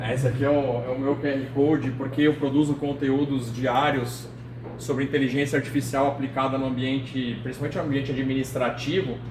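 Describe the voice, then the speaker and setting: A man with a São Paulo accent speaks at a fairly quick pace in a medium pitch with monotone, flat intonation, amid noticeable background noise and audible room echo. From São Paulo city, Brazil. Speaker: engineer and AI lecturer. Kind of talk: lecture. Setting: meeting hall with audience. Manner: casual, with many fillers.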